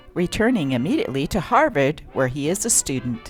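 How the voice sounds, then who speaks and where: A woman's upbeat, playful tone with very wide pitch swings, over music in the background. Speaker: newspaper reader. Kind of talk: vintage newspaper reading.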